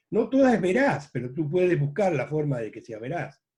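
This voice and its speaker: A man with a dark, mellow tone and a somewhat breathy voice talks at a fairly quick pace with lively intonation. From Uruguay, Rocha department (La Paloma). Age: 70s. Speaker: journalist. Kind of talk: interview. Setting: video call.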